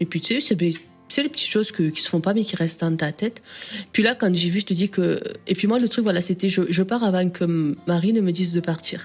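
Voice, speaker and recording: Music plays in the background while a woman talks at a fairly quick pace. Her medium pitch shows ordinary variation. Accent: Southern French. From Southern France. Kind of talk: podcast interview answer.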